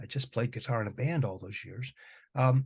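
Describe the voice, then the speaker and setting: Against a quiet background, a somewhat breathy voice speaks with ordinary pitch variation. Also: man. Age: 60s. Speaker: music professor. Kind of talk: casual chat.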